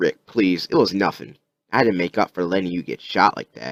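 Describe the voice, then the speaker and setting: Putting on a raspy character voice, a man talks at a fairly quick pace with a very deep, low pitch, the sound dry and close with no echo. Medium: read story.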